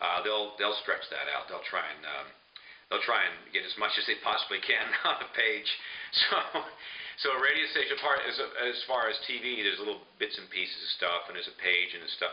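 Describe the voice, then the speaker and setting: There's noticeable background noise as a man with an American accent talks at a moderate pace, his loudness swinging widely. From Burbank, California, USA. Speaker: voiceover artist specializing in radio station imaging. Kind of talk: casual professional talk explaining the radio imaging business.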